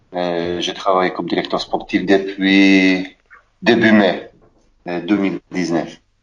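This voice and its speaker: Speaking at a very slow pace, a man uses a very deep, low pitch and a monotone, flat intonation. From Poland. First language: Polish (speaking French). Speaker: former footballer. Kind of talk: interview. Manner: halting.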